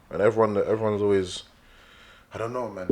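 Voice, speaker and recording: A man is speaking. His pitch is fairly low. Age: young. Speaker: musician. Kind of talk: casual chat. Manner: animated.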